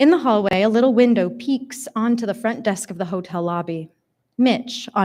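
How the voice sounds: Over a quiet background, someone reads in a natural reading voice.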